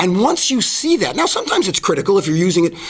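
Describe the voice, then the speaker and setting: A man's high-pitched voice at a very fast pace, with very wide pitch swings and noticeable background noise. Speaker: advertising expert and professional speaker. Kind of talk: podcast interview.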